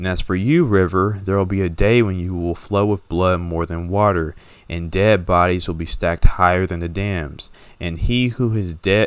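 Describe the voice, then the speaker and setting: In a very clean recording with a silent background, a man speaks at a moderate pace with a very deep, low pitch and ordinary pitch variation. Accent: American. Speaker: reader of a religious text. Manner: reading a text aloud.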